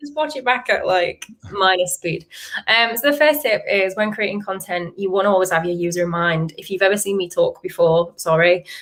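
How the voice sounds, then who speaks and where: With a strong Yorkshire accent, a woman talks at a fairly quick pace with lively intonation. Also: medium pitch for a woman. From Yorkshire, northern England. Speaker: SEO content marketer, webinar speaker. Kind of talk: presentation. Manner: fast.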